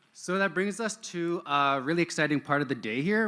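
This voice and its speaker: A man's upbeat, bright, sharp tone with lively intonation. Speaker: event emcee. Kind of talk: live event hosting. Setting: stage at an online-streamed event. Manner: casual, upbeat.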